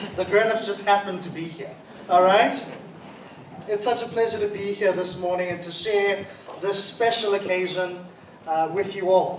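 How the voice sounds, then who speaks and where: With audible room echo and noticeable background noise, a man speaks at a high pitch in a monotone, flat way, leaving long, frequent pauses. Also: moderate pace. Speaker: guest speaker. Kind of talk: school address. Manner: loud.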